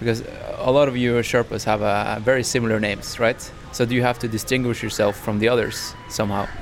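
Music plays in the background as a man speaks at a very fast pace, with medium pitch and monotone, flat intonation. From Norway. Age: 30s. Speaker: podcast host. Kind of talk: casual interview; podcast intro monologue.

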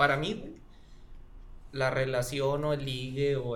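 A man with a fairly high voice speaks with a Mexican accent. Audible room echo and noticeable background noise surround him. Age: 30s. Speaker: history teacher. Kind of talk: casual chat.

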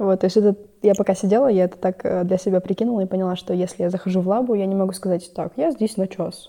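A woman talks at a very fast pace with fairly even intonation. Her tone is dark and mellow. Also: medium pitch for a woman. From Kazakhstan, Ust-Kamenogorsk. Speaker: biology student. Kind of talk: casual interview.

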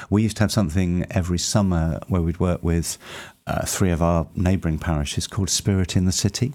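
A man with a very deep, low pitch speaks at a very fast pace, with ordinary pitch variation and very even loudness. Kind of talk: interview. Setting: radio studio.

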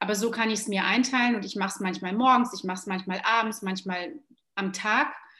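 Her pitch medium and its variation ordinary, a woman speaks at a very fast pace. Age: 40s. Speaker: yoga teacher and trainer. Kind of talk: casual chat.

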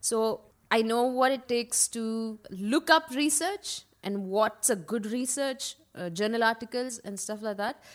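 The speech comes at a fairly slow pace in a Karnataka accent, with hardly any pauses. The pitch shows ordinary variation, on a very clean recording with a silent background. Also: woman, fairly high pitch for a woman. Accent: Indian English (Kannada region). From India, Karnataka (Mysore/Bangalore). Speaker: radiologist and fitness instructor. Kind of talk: casual interview chat.

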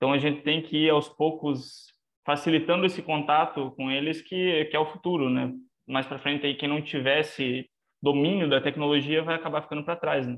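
Monotone, flat intonation at a moderate pace. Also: man, fairly high pitch for a man. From southwestern Paraná, Brazil. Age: 20s. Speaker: animal scientist. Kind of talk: casual interview.

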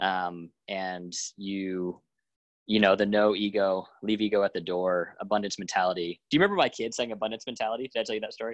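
A man talks at a fairly low pitch against a quiet background. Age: 30s. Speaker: podcast host. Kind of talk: casual interview. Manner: animated.

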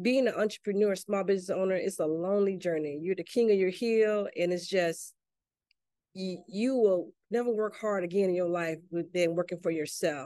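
A woman speaks with a Southern US accent. Her tone is dark and mellow, with ordinary pitch variation. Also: medium pitch for a woman, moderate pace. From US South, Mississippi. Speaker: army veteran and chef, small business owner. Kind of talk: interview.

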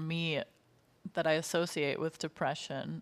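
With an ordinary speaking voice and an American accent, a woman speaks at a moderate pace and fairly low pitch in a very clean recording with a silent background. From United States. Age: 20s. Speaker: podcast co-host. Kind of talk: casual educational discussion.

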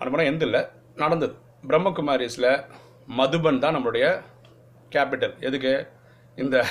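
Fairly high in pitch, a man talks in an ordinary speaking voice. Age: 40s. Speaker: spiritual teacher. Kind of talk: religious teaching talk. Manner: casual, conversational.

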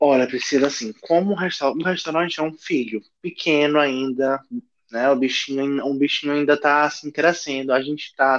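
A man talks in an ordinary speaking voice with a fairly high pitch. His pace is fairly quick and his intonation fairly even. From Pará, northern Brazil. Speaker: chef and restaurant owner. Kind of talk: casual interview.

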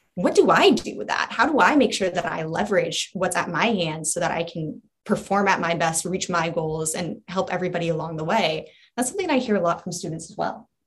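In an ordinary speaking voice, a woman talks at a fairly quick pace with a fairly low pitch and ordinary pitch variation. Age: 20s. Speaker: coach, nonprofit staff. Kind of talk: casual interview.

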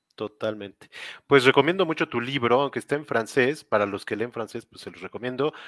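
An unremarkable speaking voice from a man, medium in pitch with ordinary pitch variation, fairly quick, with big swings in loudness and a dry, close sound with no echo on a very clean recording with a silent background. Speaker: interview show host. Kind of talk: interview. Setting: live video stream.

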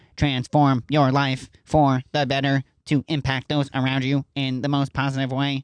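Here a man uses a put-on character voice at a medium pitch. His intonation is monotone and flat, and his pace is moderate. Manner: robotic, announcing.

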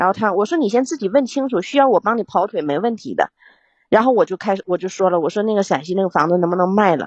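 A woman at a very fast pace with lively intonation. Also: medium pitch for a woman. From Yingkou, Liaoning, China. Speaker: caller. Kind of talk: personal problem talk. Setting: live stream call.

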